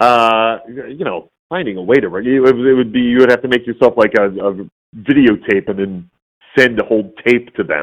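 A man with an unremarkable speaking voice in an American accent, medium pitch and a moderate pace. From US Midwest, Detroit suburbs (Warren). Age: 50s. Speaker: voice actor and puppeteer. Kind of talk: casual interview chat.

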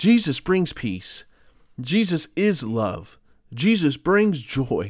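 Here a man speaks at a high pitch, with very wide swings in it. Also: very clean recording, silent background. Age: 40s. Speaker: pastor podcast host. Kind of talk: devotional bible teaching. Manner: conversational.

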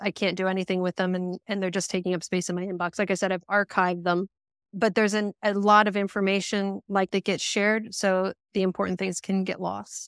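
A woman with an American accent talks at a fairly quick pace and a medium pitch. Her intonation is monotone and flat, and the recording is very clean with a silent background. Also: dry, close sound with no echo. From US Northeast. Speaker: operations manager. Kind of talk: casual interview chat. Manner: fast talker.

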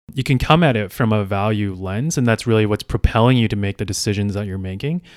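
Recorded very cleanly against a silent background, a man with an ordinary speaking voice talks at a fairly quick pace and fairly low pitch, with ordinary pitch variation. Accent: Canadian. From Canada, Calgary, Alberta. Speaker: civil engineer and sustainability consultant. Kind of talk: interview.

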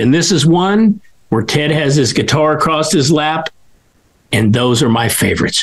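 A man speaks at a moderate pace in a normal speaking voice. His intonation is lively. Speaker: show host. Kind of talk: casual interview chat.

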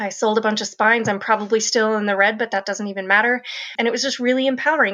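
In an American accent, the voice has a bright, sharp tone and fairly even intonation. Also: woman. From Colorado. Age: 40s. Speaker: novelist. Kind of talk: casual chat.

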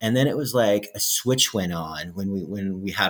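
A man with a normal speaking voice talks at a fairly quick pace. His pitch is fairly low, with ordinary pitch variation. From Alberta, Canada. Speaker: outdoors YouTuber. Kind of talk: casual chat.

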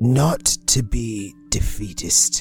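Over clear background music, a man puts on a character voice at a fairly low pitch. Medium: actual play. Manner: blunt, profane, coldly practical.

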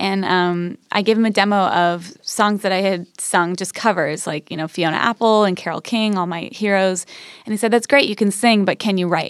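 With an ordinary speaking voice, a woman talks at a medium pitch and a moderate pace with fairly even intonation, in a very clean recording with a silent background. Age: 30s. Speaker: singer-songwriter. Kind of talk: casual chat. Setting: studio.

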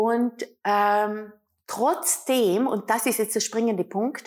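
A woman with a fairly high pitch speaks at a very slow pace on a very clean recording with a silent background. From Austria, Vorarlberg. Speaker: self-love and couples coach, author. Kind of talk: interview.

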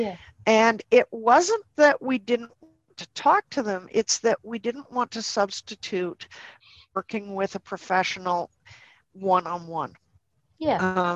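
With a Canadian accent, a woman speaks very slowly in a fairly high voice, her intonation lively and her loudness swinging widely, in a dry, close sound with no echo. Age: 50s. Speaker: dog behaviour consultant and trainer. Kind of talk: podcast interview.

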